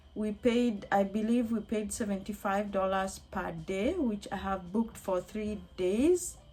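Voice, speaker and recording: A woman's somewhat breathy, medium-pitched voice with a dark, mellow tone, fairly even intonation, a fairly slow pace and hardly any pauses. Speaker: crochet vlogger. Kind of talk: casual vlog talk to camera. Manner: conversational with hesitations.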